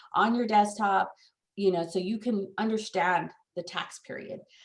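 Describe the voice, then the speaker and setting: With a normal speaking voice, a woman speaks at a moderate pace and medium pitch, her intonation fairly even. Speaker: escrow officer. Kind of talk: training class.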